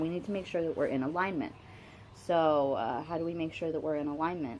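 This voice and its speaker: With ordinary pitch variation, a woman's fairly low voice carries her words. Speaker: spiritual vlogger. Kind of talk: casual monologue. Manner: animated.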